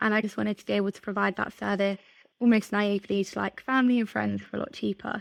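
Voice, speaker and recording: Dry and close with no echo, a woman talks at a very fast pace in an English accent, her loudness swinging widely. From England, north of London. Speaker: content marketing manager. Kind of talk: podcast interview.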